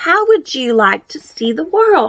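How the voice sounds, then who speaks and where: Using a put-on character voice, a woman speaks at an extremely high pitch with very wide pitch swings. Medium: read story. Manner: friendly, eager.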